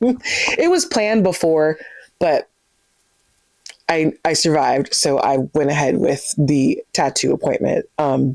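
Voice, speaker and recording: The delivery is very slow. Loudness stays very even throughout. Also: woman. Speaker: book vlogger. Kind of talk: casual chat. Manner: less lively than usual.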